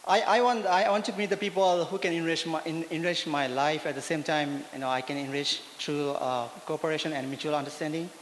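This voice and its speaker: Fairly quick speech from a man with a fairly high pitch, ordinary pitch variation, and hardly any pauses, amid noticeable background noise. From India. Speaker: Peace Corps volunteer. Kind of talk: personal testimony. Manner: halting, many fillers.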